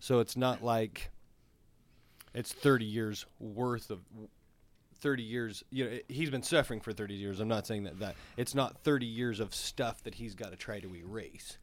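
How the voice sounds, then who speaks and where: A man with an ordinary speaking voice talks at a moderate pace, medium in pitch with ordinary pitch variation. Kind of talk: casual interview. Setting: studio.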